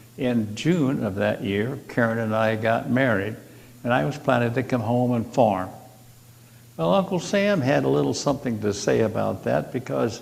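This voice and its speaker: With an American accent, a man speaks at a medium pitch and a moderate pace. His intonation is lively, and audible room echo surrounds the voice. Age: 80s+. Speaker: congregation member, retired farmer. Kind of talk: personal talk at a church service. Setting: church service, seated.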